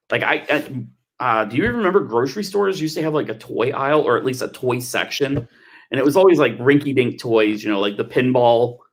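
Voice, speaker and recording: Heard in a very clean recording with a silent background, a man with an American accent and an unremarkable speaking voice talks at a fairly quick pace, fairly high in pitch with lively intonation. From Texas. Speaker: telethon co-host. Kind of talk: casual chat. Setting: livestream.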